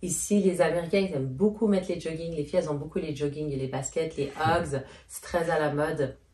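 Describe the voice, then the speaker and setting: Against noticeable background noise, a woman with a very deep, low pitch talks at a fairly quick pace, her loudness swinging widely. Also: ordinary pitch variation. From Switzerland, Geneva. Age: 30s. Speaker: YouTuber. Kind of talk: casual Q&A chat.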